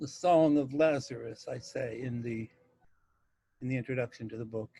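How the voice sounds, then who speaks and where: A somewhat breathy man speaks at a moderate pace with fairly even intonation. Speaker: poet and publisher. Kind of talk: casual talk to camera.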